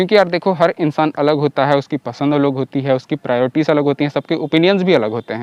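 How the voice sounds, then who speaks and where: Dry and close with no echo, a man with an ordinary speaking voice talks at a moderate pace with ordinary pitch variation. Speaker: motorcycle YouTuber. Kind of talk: casual vlog review. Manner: casual, conversational.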